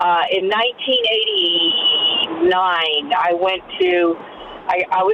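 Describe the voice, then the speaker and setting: A woman's plain, everyday voice at a medium pitch, with lively intonation. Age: 50s. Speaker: caller. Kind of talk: personal testimony.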